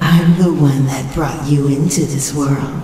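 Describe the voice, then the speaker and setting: Heavy echo surrounds a put-on character voice at a low-to-middle pitch, delivered at a fairly slow pace in a flat monotone. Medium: audio drama. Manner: silky, condescending.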